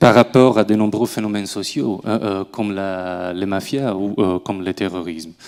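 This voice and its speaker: A man with an Italian accent talks at a moderate pace, his intonation fairly even and hardly any pauses between words. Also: fairly low pitch for a man. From southern Italy. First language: Italian (speaking French). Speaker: researcher. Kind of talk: academic panel talk. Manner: halting, many fillers.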